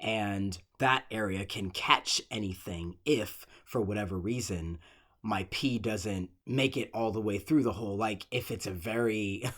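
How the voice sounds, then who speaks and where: Fairly low-pitched man with ordinary pitch variation on a very clean recording, silent background. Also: fairly slow pace. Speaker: podcast host. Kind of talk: personal monologue podcast.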